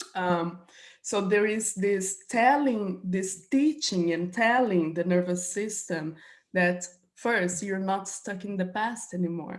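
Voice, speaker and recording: The woman's words come out very slowly. Her voice sits at a medium pitch and varies in an ordinary way. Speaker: somatic trauma healing practitioner. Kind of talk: interview conversation.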